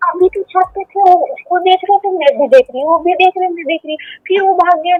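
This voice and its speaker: A woman's extremely high-pitched voice with ordinary pitch variation. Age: 30s. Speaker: caller. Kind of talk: call-in consultation. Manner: halting.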